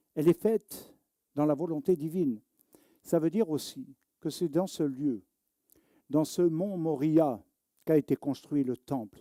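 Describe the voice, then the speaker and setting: Dry, close sound with no echo, a dark, mellow tone, ordinary pitch variation, a fairly slow pace with long, frequent pauses, and a very clean recording with a silent background. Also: man, fairly high pitch for a man. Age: 60s. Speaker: rabbi. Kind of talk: sermon. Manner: animated.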